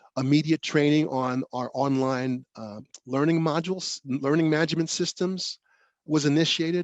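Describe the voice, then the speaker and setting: Speaking with a New York accent, a man uses fairly even intonation at a fairly high pitch and moderate pace. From New York, South Bronx. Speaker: professor. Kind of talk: lecture. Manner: halting, many fillers and restarts.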